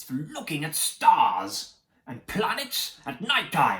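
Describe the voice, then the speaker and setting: A man performs a put-on character voice. It sits high in pitch and moves at a fairly slow pace. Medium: read story.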